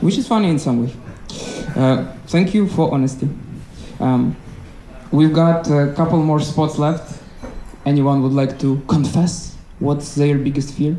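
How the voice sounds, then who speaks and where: Fairly high-pitched man with a non-native accent at a fairly slow pace, long, frequent pauses and fairly even intonation, amid audible room echo and noticeable background noise. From Ukraine. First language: not English. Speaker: stand-up comedian. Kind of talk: stand-up crowd work. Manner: halting, many fillers.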